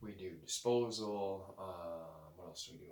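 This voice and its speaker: Ordinary pitch variation amid noticeable background noise and audible room echo. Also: man. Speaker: moving company owner. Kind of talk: casual vlog talk. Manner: keeping voice low; hesitant, many fillers.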